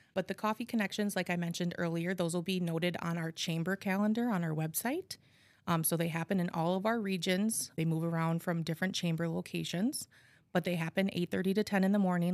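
A woman with an Upper Midwest accent talks at a fairly quick pace in a fairly low pitch, her intonation fairly even and her loudness very even. The sound is dry and close with no echo, in a very clean recording with a silent background. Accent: Upper Midwest American. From Appleton, Wisconsin. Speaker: nonprofit outreach coordinator. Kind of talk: interview.

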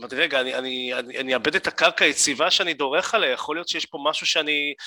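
A man's fairly high voice with a bright, sharp tone and ordinary pitch variation, at a fairly quick pace in a dry, close sound with no echo. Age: 30s. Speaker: event host and voice actor. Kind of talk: interview. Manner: animated.

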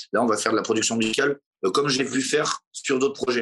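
A man talks at a very fast pace with medium pitch. The sound is dry and close, with no echo. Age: 40s. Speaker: singer-songwriter. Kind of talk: interview testimony. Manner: hesitant, many fillers.

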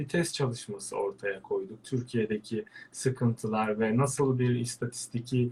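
His voice has a somewhat breathy quality. The man talks at a moderate pace. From Turkey, Antalya. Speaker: veterinarian and birdwatcher. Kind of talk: interview. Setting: live online broadcast.

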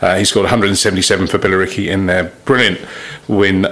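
This man has an English accent and a fairly low pitch. He speaks at a moderate pace over noticeable background noise. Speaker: cricket podcast host. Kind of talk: casual interview.

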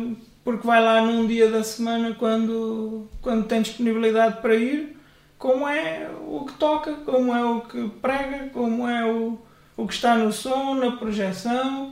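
An extremely high-pitched man's voice with fairly even intonation at a fairly slow pace, plus audible room echo and noticeable background noise. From central Portugal. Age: 30s. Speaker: church member, former Bible institute student. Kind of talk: casual interview.

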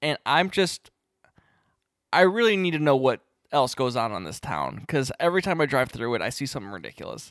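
Mumbling with vocal fry, a man speaks at a fairly high pitch. His pitch swings very widely. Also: fairly quick pace, very clean recording, silent background. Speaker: podcast co-host. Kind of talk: casual chat.

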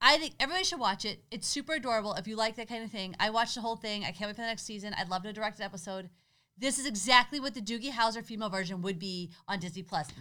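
A woman speaks at a very fast pace with a fairly high pitch and ordinary pitch variation. Her tone is animated, bright and sharp. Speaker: podcast co-host. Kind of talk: casual chat. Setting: home garage. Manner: animated, laughing often.

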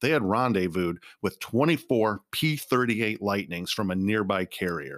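An ordinary speaking voice from a man, fairly low in pitch with lively intonation, at a moderate pace in a very clean recording with a silent background. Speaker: podcast host. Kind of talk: history documentary narration, scripted and read aloud. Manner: formal, measured, solemn and even-paced.

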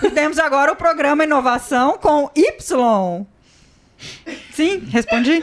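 With a high pitch and lively intonation, a woman talks at a very slow pace with long, frequent pauses and very even loudness. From Brazil, Minas Gerais. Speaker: marketing director at accelerator, co-host. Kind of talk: casual business interview chat.

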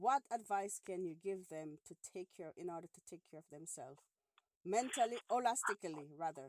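A woman with an ordinary speaking voice talks at medium pitch and a moderate pace, her intonation lively and her loudness swinging widely. The sound is dry and close, with no echo. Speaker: podcast host. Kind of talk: casual phone-in chat.

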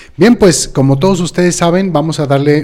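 Dark, mellow male voice, ordinary in pitch variation. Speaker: homeopathy doctor and co-host. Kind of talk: educational live-stream chat. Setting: live video stream.

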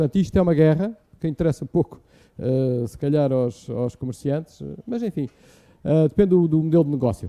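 A man's dark, mellow tone at a fairly high pitch, lively in intonation, at a moderate pace. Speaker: engineering professor and researcher. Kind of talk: live public Q&A explaining to children. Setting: live session with audience in a room.

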